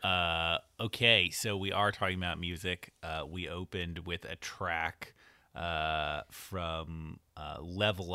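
A man talks at a very slow pace. His very deep, low voice keeps a fairly even intonation. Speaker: podcast host. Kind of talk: casual chat. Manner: put-on radio announcer style in the intro.

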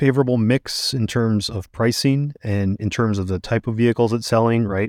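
A man with a normal speaking voice at medium pitch and ordinary pitch variation, in a dry, close sound with no echo and a very clean recording with a silent background. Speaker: auto industry reporter. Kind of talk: interview discussion.

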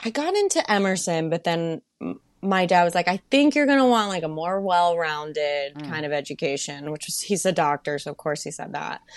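Here a woman with an American accent uses a normal speaking voice at a fairly low pitch. She talks at a fairly quick pace with lively intonation. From US South, Melbourne, Florida. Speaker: Broadway performer. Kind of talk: casual chat.

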